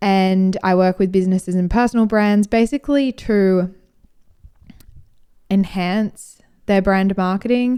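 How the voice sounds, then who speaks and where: Her voice has a dark, mellow tone and medium pitch, and the woman speaks at a fairly slow pace with fairly even intonation. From Australia. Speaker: podcast host and brand marketer. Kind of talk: casual monologue. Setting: at home on the couch.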